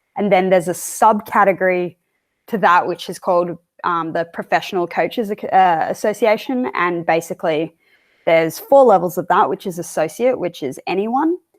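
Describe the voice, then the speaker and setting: Recorded very cleanly against a silent background, a woman speaks with an Australian accent. Her pitch is medium with ordinary variation, and her pace is moderate. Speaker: strength and conditioning coach. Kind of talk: interview.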